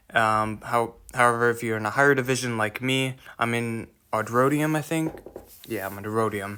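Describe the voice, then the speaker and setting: A man talks with fairly even intonation. Noticeable background noise is present. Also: medium pitch for a man, moderate pace. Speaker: mobile game guide creator. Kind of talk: casual game tutorial voiceover. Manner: hesitant, many filler words and stutters.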